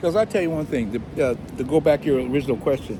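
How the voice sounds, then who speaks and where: With an American accent and a fairly high pitch, a man speaks at a fairly quick pace over noticeable background noise. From California. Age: 70s. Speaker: expat club member. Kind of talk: casual chat. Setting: outdoor cafe by the beach.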